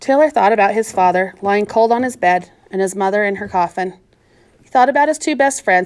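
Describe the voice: Someone is reading aloud. Nothing is added to the plain delivery.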